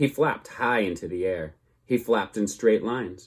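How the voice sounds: The speaker reads in a natural voice.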